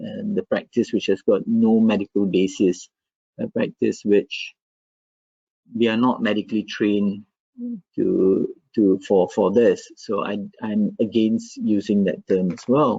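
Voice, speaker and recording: A man with a non-native accent talks at a fairly slow pace, leaving long, frequent pauses. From Malaysia. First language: not English. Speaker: medical professor. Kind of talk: academic webinar discussion.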